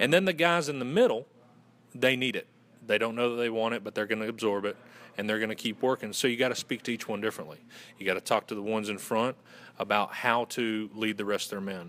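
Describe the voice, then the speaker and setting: A man with a Southern US accent talks at a very fast pace in a medium pitch with ordinary pitch variation, on a very clean recording with a silent background. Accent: Southern US, moderate. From Western North Carolina. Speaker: fraternity communications director. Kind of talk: interview.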